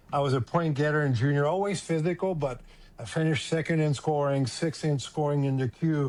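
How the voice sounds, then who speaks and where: Speaking in a Quebec French accent, a man keeps a fairly high pitch, fairly even intonation and very even loudness. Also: fairly quick pace. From Quebec, Montreal. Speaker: former hockey player and scout. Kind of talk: casual interview.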